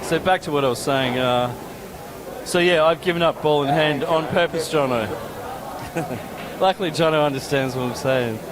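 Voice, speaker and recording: Someone speaks with an Australian accent and ordinary pitch variation, leaving long, frequent pauses in a room with audible echo and noticeable background noise. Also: man, fairly high pitch for a man, moderate pace. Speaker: pool commentator. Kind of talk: live commentary. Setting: commentary booth. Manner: casual, animated.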